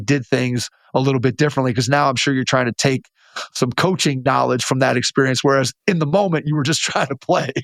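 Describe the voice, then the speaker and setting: In a dry, close sound with no echo, a man of medium pitch talks at a fairly quick pace in a plain, everyday voice with fairly even intonation. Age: 50s. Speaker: basketball podcast host. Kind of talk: interview.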